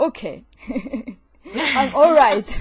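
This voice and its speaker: The speaker has a Japanese accent. The pace is very slow. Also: woman. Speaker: podcast co-host. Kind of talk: casual podcast conversation.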